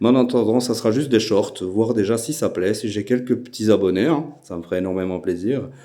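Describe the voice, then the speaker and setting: This man has a dark, mellow tone and a fairly low pitch. He speaks in a Belgian accent with ordinary pitch variation. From Belgium. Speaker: airgun YouTuber. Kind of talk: casual channel introduction. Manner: hesitant, many filler sounds.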